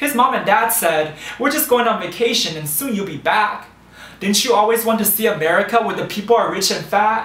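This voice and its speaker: With noticeable background noise, a man talks at a moderate pace in a high pitch with ordinary pitch variation. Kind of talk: spoken word storytelling. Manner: rhythmic, rhyming delivery.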